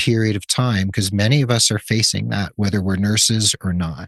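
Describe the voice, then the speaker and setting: Against a quiet background, a man talks at a moderate pace with fairly low pitch and ordinary pitch variation. He has an ordinary speaking voice. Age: 60s. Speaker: podcast host, nurse. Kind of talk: interview conversation.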